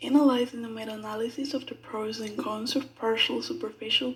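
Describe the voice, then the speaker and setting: A woman speaks at a moderate pace with a fairly high pitch and ordinary pitch variation, over noticeable background noise. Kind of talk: medical presentation narration.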